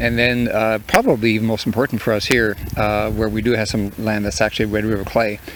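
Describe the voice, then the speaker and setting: A man with a Manitoban accent, fairly low-pitched and fairly quick, with fairly even intonation and noticeable background noise. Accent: Canadian (Manitoba). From Canadian Prairies (southeastern Manitoba). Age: 60s. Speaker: farmer. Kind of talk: interview. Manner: halting, many fillers.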